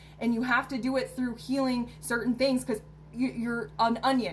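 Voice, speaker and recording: A woman talks with ordinary pitch variation while noticeable background noise fills the recording. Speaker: self-help vlogger. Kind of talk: casual advice monologue to camera. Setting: recording to camera. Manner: halting, with fillers.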